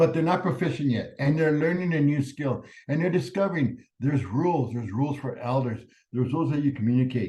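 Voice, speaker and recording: A man talks at a very fast pace with a fairly high pitch. His voice is somewhat breathy, with a dark, mellow tone. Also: ordinary pitch variation. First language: Spanish. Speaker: professor. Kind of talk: lecture.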